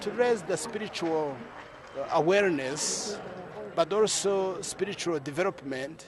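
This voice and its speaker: Against noticeable background noise, a man talks at a fairly slow pace in a high pitch with ordinary pitch variation. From Rwanda. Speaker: church youth movement leader. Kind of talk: interview.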